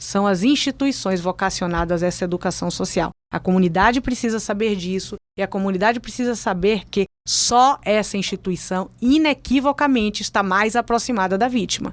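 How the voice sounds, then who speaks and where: In a Bahian accent, a woman talks at a moderate pace with a medium pitch, ordinary pitch variation and an animated tone, in a very clean recording with a silent background and a dry, close sound with no echo. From Bahia, Brazil. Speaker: public prosecutor. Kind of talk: interview.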